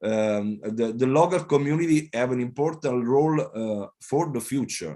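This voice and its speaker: The speaker, in an Italian accent, talks at a fairly slow pace with lively intonation. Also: man. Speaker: mayor. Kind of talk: panel talk. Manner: halting.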